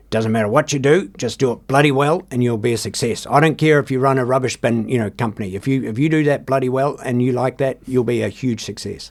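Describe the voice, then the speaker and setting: A gruff, put-on character voice races along at a very fast pace with hardly any pauses. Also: man, medium pitch for a man. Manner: stern.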